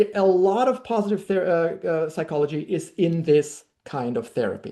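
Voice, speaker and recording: Against a quiet background, a woman with a German accent speaks in a dark, mellow tone. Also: lively intonation, moderate pace. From Germany. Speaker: language workshop leader. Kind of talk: workshop lecture. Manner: halting, many fillers.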